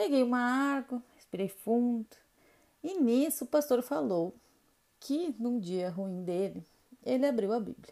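A woman speaks at a high pitch with a dark, mellow tone and lively intonation. Her pace is fairly slow, with long, frequent pauses. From Rio Grande do Sul, southern Brazil. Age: 30s. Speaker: podcast host, makeup artist. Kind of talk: personal storytelling monologue.

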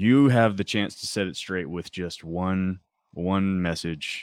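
A man speaks very slowly in a very deep, low pitch with ordinary pitch variation. The recording is very clean, with a silent background. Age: 40s. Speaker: high school English teacher. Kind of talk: casual chat.

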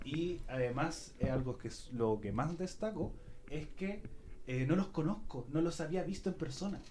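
With a Chilean accent, a man speaks fairly slowly in a fairly high pitch and a dark, mellow tone, his intonation lively amid audible room echo. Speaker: radio producer hosting a podcast episode. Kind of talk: live podcast panel chat. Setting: radio studio, streamed live.

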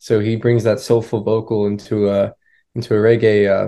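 A man's fairly low, dark, mellow voice with an American accent and monotone, flat intonation over a quiet background. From Florida, US. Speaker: touring band musician. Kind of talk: casual interview.

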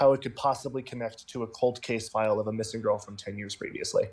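Heard in a very clean recording with a silent background, a man speaks in a medium pitch with a dark, mellow tone. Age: young. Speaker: podcast co-host and literature student. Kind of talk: casual chat.

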